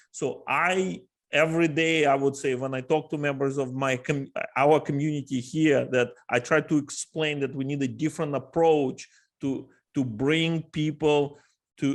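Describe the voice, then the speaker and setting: Fairly even intonation marks this voice with a Russian accent on a very clean recording with a silent background. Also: man. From Ukraine. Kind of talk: panel discussion.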